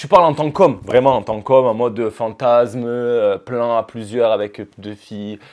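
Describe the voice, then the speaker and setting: Using an ordinary speaking voice, a man talks at a medium pitch and a fairly slow pace, with big swings in loudness. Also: hardly any pauses. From Marseille, southern France. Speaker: reality TV participant, firefighter and model. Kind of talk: casual chat.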